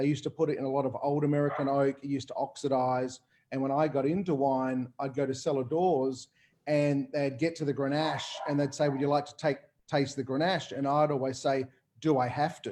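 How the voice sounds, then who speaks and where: With an Australian accent, a man talks at a fairly quick pace in a dark, mellow tone, his pitch fairly high for a man. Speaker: winemaker. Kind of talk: casual panel talk. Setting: video call. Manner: fast; animated.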